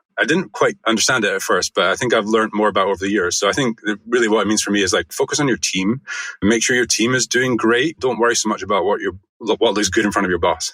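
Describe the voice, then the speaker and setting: In a dry, close sound with no echo, a man with a Scottish accent speaks very fast at a very even loudness. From Scotland. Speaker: design agency founder. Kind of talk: podcast interview.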